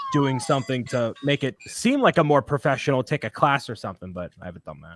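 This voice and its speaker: A man with a Boston accent speaks at a fairly quick pace in a medium pitch, his intonation lively and his loudness swinging widely. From Boston, US. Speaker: YouTube co-host. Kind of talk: casual chat.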